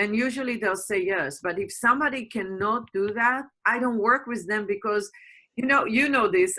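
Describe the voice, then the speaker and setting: A woman speaks with a bright, sharp tone. Her pitch sits fairly high. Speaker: communication and empowerment coach. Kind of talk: interview answer. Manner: passionate.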